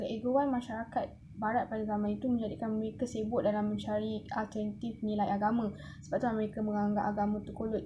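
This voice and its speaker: A woman's very fast, monotone delivery with flat intonation, over noticeable background noise. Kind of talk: class presentation. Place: home room. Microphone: phone near.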